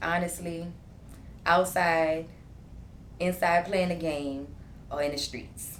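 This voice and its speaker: Speaking very slowly in a New Orleans accent, a woman with a fairly low voice keeps a monotone, flat intonation and takes long, frequent pauses, with audible room echo. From New Orleans East, Louisiana. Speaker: entrepreneur, podcast guest. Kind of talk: casual chat.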